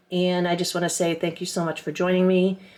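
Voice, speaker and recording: A medium-pitched woman's voice in a very clean recording with a silent background. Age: 60s. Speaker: gardening vlogger. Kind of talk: casual vlog talk. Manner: hesitant, many fillers.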